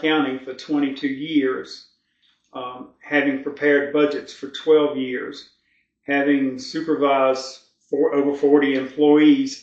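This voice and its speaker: In a Virginia accent, a man talks at a very slow pace with a fairly high pitch and monotone, flat intonation. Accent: Southern US (Virginia). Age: 60s. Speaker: local political candidate, retired sheriff. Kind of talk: interview.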